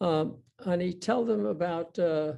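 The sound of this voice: With vocal fry and a dark, mellow tone, a man speaks fairly slowly at a high pitch. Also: ordinary pitch variation.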